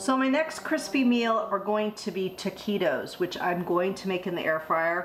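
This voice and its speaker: A woman talks fairly slowly, with light noise behind her. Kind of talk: tutorial. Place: kitchen.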